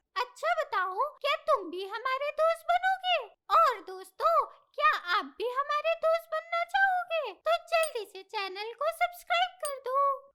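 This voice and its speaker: A cartoonish character voice, extremely high in pitch, moves at a fairly slow pace. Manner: bright, eager.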